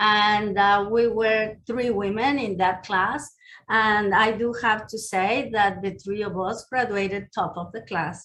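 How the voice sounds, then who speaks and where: With a Mexican accent, a woman speaks at a fairly slow pace in a fairly high pitch. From Mexico City. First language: Spanish. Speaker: county commissioner and dentist. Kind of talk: speech. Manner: conversational.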